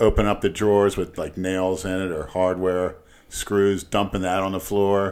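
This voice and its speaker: A man speaks at a moderate pace with a very deep, low pitch. His intonation stays monotone and flat. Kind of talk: casual banter.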